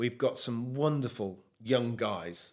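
A man talks at a moderate pace with a medium pitch in an unremarkable speaking voice. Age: 60s. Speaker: former golf champion. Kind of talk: casual chat.

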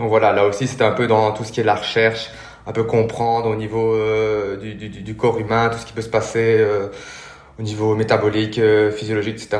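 Audible room echo surrounds a man speaking at a moderate pace and medium pitch in a flat monotone. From Belgium. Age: 20s. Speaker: duathlete. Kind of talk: interview.

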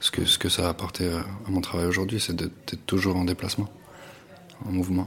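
A man with a fairly low voice speaks at a moderate pace in a flat, monotone way. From United States and Tunisia. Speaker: visual artist. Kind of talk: interview. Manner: halting, many repetitions and fillers.

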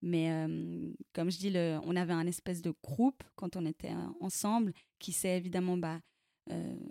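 A woman's fairly low voice, dark and mellow in tone, at a moderate pace, with a dry, close sound and no echo. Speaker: interviewee sharing personal story. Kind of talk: personal testimony. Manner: halting.

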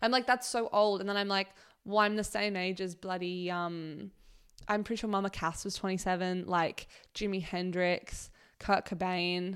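With an Australian accent, a woman speaks at medium pitch and a moderate pace with fairly even intonation on a very clean recording with a silent background. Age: 20s. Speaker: podcast co-host. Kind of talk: casual chat. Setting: home recording.

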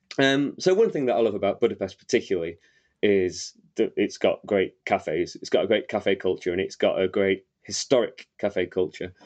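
A man talks with a Yorkshire accent at a moderate pace. The background is quiet. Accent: Wakefield Yorkshire, noticeable. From Wakefield, West Yorkshire, England. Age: 40s. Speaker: novelist. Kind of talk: casual chat.

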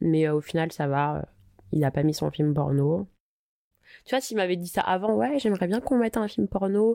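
Using a dark, mellow tone, a woman swings her pitch very widely and leaves long, frequent pauses. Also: moderate pace. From Paris, France. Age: 20s. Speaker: social media personality. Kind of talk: candid personal storytelling interview. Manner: casual, slangy.

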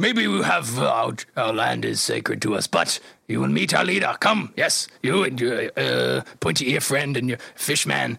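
The speaker uses a raspy, put-on character voice at a moderate pace. There are hardly any pauses. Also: man. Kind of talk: comic improv character. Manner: chatty, friendly, casual.

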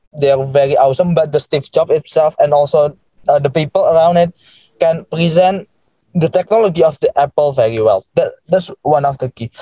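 Someone with an Indonesian accent speaks at a fairly quick pace in a dark, mellow tone with ordinary pitch variation, the sound dry and close with no echo. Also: man, fairly high pitch for a man. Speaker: education startup founder. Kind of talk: interview conversation. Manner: hesitant with many fillers.

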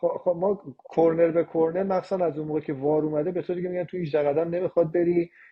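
A man's high-pitched voice at a very fast pace. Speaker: retired international football referee. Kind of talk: casual chat.

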